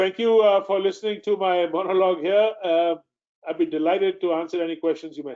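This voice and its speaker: Talking very fast at a high pitch, a man keeps his intonation fairly even. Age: 60s. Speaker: mining company executive. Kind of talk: investor presentation. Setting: webinar. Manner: halting, many fillers.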